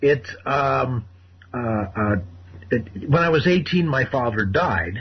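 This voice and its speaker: Speaking very slowly at a medium pitch, a man keeps his loudness very even while his intonation stays lively. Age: 60s. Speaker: caller. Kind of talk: call-in radio conversation. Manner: halting, many fillers and repetitions.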